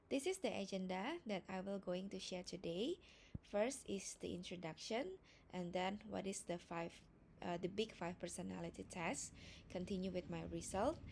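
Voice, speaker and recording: A woman's medium-pitched voice with vocal fry, ordinary pitch variation and a moderate pace. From Indonesia. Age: 30s. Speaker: student and risk management manager. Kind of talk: class presentation. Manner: somewhat halting, with fillers.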